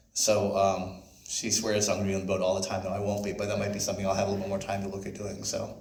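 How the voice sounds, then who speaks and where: A man speaks at a very fast pace. Room echo is audible. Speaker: sailing charter business owner. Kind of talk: club presentation with Q&A. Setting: club member meeting.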